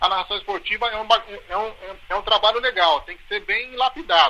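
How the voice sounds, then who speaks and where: Raising and projecting his voice, a man speaks at a high pitch and a fairly quick pace. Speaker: football radio announcer. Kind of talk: interview answer. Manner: casual, conversational.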